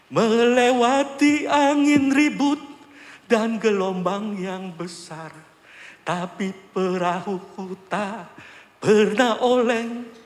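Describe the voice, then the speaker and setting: The voice moves through very wide pitch swings. Audible room echo surrounds it. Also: man. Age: 60s. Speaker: church elder giving testimony. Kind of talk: testimony. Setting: church.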